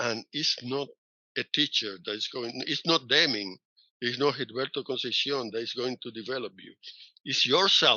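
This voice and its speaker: A man speaks with a Spanish accent at a moderate pace, his pitch medium and its variation ordinary. His loudness swings widely. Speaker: professor. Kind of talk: interview.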